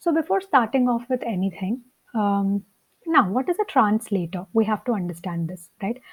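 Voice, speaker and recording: A woman with a Telugu accent speaks at a moderate pace, her voice somewhat breathy. Her fairly high pitch carries lively intonation. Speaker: coding teacher. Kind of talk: tutorial. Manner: hesitant, with many fillers.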